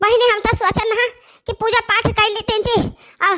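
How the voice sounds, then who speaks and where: A cartoonish character voice moves along at a fairly quick pace. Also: woman. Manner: grumbling, folksy.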